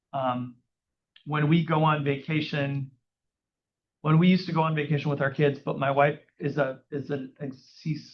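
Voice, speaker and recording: This man has a fairly high pitch and a somewhat breathy voice, speaking with an American accent. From US Midwest, Minneapolis area. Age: 60s. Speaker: real estate agent. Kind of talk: interview on stage. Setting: live audience in a room.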